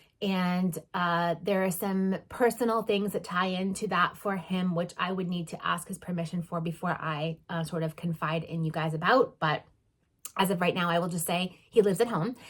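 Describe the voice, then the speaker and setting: A woman speaks at a moderate pace in a fairly low, somewhat breathy voice. Her intonation stays fairly even. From northeastern US. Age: 40s. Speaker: vlogger and travel agent. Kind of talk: casual vlog monologue. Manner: hesitant, many fillers.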